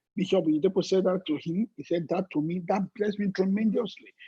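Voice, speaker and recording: Fairly quick and high-pitched for a man, his voice has a dark, mellow tone and a dry, close sound with no echo. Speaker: pastor. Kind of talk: sermon. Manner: fast.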